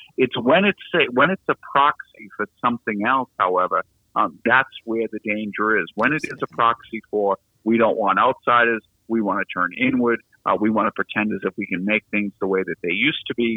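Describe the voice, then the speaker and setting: Speaking with a strong Boston accent, a man talks at a moderate pace and medium pitch with ordinary pitch variation. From Boston, US. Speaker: law lecturer. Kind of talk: interview discussing politics and law. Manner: thoughtful, hesitant with fillers.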